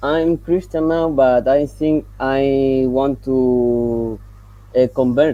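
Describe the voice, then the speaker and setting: Someone speaks very slowly with a Spanish accent. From Colombia. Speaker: caller wanting to convert. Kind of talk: casual live-stream conversation. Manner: halting.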